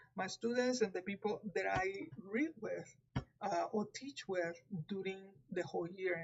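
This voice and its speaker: The speaker sounds somewhat breathy, with lively intonation and a Puerto Rican accent. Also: woman. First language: Spanish. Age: 50s. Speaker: tarot reader. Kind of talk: live stream talk. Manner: halting.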